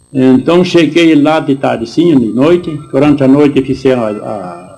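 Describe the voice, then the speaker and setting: A man's fairly high voice with a dark, mellow tone, a moderate pace and ordinary pitch variation. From southern Brazil, Rio Grande do Sul. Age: 70s. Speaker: war veteran. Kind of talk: interview testimony. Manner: halting, many self-corrections.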